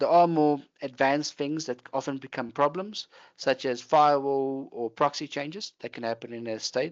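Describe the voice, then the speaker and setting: Here a man speaks at a fairly quick pace. His pitch sits in the medium range. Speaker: software platform engineer presenting a webinar. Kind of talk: webinar presentation. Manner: fast.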